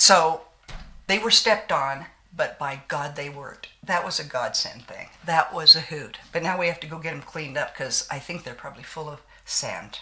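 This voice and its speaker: The speech moves at a moderate pace with ordinary pitch variation and big swings in loudness, over noticeable background noise. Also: woman, very deep, low pitch for a woman. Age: 60s. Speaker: beauty vlogger. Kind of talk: casual chat with makeup tutorial. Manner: animated.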